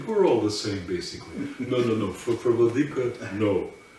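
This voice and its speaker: Lively intonation comes through over audible room echo and noticeable background noise. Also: man. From Russian émigré community. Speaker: Orthodox priest. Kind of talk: interview. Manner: halting.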